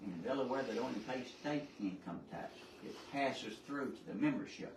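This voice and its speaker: Lively intonation from a man with a Southern US accent, amid audible room echo and noticeable background noise. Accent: Southern US (Georgia). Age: 70s. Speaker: citizen speaker at public meeting. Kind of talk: public comment at county board meeting.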